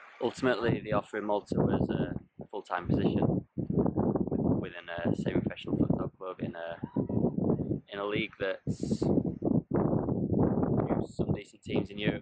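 A man at a moderate pace with long, frequent pauses, dry sound with no echo, and loud background noise. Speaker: futsal coach vlogger. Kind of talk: casual vlog chat. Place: open country. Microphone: phone near.

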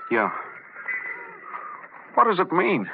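Faint background noise underlies a man's put-on character voice, slow and high-pitched with vocal fry and very wide pitch swings.

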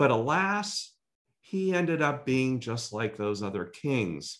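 A man's medium-pitched voice at a fairly slow pace, with very wide pitch swings, against a quiet background. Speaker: preacher; church pastor. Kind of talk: sermon. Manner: conversational, storytelling. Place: home room. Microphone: webcam.

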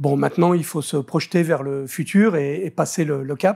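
A man's fairly high, dark, mellow voice at a fairly slow pace, with ordinary pitch variation and a quiet background. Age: 60s. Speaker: business association president; interviewee. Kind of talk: interview. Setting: studio. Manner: hesitant, with many fillers. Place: studio.

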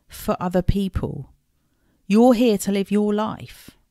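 A woman with an English accent has a dark, mellow tone at medium pitch. The recording is very clean with a silent background and a dry, close sound with no echo. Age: 40s. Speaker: podcast host and life coach. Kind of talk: solo podcast talk. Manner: warm and chatty.

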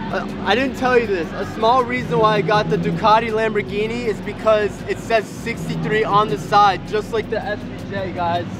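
Against crowd noise in the background, a man talks at a moderate pace in a dry sound with no echo. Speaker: car vlogger. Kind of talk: casual vlog chat. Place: hall. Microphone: phone near.

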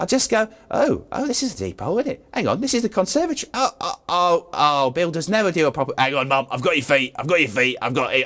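A cartoonish character voice races along at a very fast pace with very wide pitch swings and hardly any pauses. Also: man, high pitch for a man. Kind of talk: improvised comic animal voice-over.

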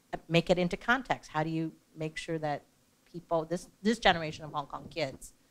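A woman with an American accent and a normal speaking voice talks in a fairly low pitch with ordinary pitch variation. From Taiwan, then raised in the US. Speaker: arts nonprofit executive director; panelist. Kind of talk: panel discussion. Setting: stage with audience. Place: hall.

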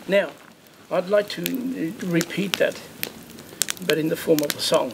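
A man speaks rather slowly while background noise is clearly heard. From South Australia. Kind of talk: campfire storytelling. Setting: outdoors. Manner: relaxed, conversational. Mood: calm, warm, unhurried. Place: open country.

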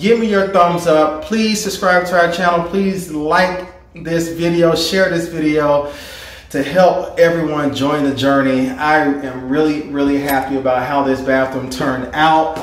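With audible room echo, a man speaks at a fairly slow pace and ordinary pitch variation. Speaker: home DIY vlogger. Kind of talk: casual vlog chat. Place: bathroom.

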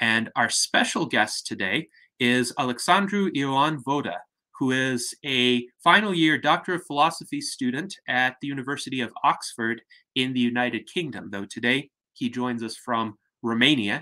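Against a quiet background, a man talks at a moderate pace in a bright, sharp tone with ordinary pitch variation. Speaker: host of online salon. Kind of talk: formal introduction. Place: home room. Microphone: webcam.

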